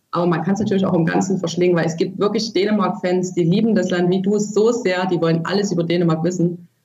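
A woman's medium-pitched voice, very fast with hardly any pauses, very even in loudness, in a monotone, flat intonation. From Germany, from a small village. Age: 30s. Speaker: author. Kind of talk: interview. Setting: remote call.

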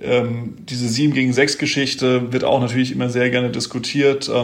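This man's delivery is fairly slow. His words carry an audible echo from the room. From Mainz, Germany. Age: 20s. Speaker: handball player. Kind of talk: casual interview. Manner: hesitant with fillers.

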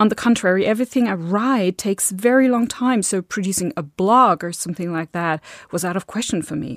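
A woman talks at a fairly quick pace with lively intonation, the sound dry and close with no echo. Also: medium pitch for a woman. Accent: German. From Germany. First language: German. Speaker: podcast host and film scholar. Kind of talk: scripted podcast introduction.

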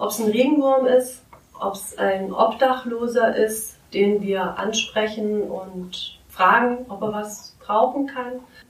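A woman's fairly high voice with ordinary pitch variation, amid audible room echo and noticeable background noise. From Italy (Liguria), German parents from Swabia. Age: 30s. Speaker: artist and art teacher. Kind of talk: interview.

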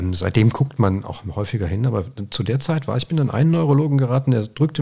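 Somewhat breathy and very fast, a man speaks in a dark, mellow tone with lively intonation. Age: 50s. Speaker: Parkinson's patient sharing experience. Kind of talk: interview conversation. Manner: halting.

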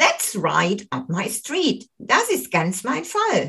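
A woman speaks with a German accent. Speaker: English teacher. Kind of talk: language lesson. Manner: slow.

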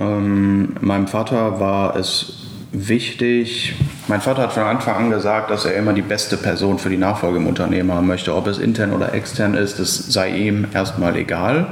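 Amid noticeable background noise and audible room echo, a man with a fairly low pitch speaks at a moderate pace with very even loudness and fairly even intonation. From Ruhr area, Essen (Germany). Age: 20s. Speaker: young family business successor. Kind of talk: podcast interview. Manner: halting, many filler sounds.

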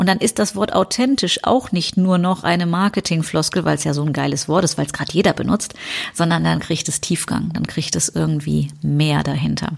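A woman talks at a fairly quick pace. Noticeable background noise can be heard. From Rhineland, western Germany. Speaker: business coach and podcast host. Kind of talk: solo podcast monologue. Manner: casual, conversational.

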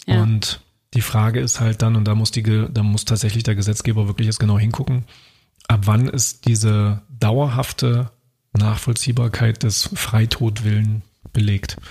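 A man's somewhat breathy, medium-pitched voice in a monotone, flat intonation, very even in loudness at a moderate pace. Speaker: podcast co-host. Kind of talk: casual chat. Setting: at his own desk.

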